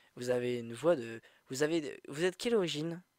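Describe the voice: A man's fairly high-pitched voice with a slightly mellow tone. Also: ordinary pitch variation, fairly quick pace.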